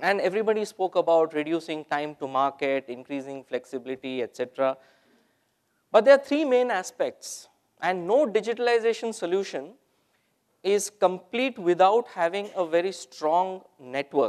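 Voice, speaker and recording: Moderate pace from a man, quiet background behind him. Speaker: presenter. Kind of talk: conference talk. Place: hall.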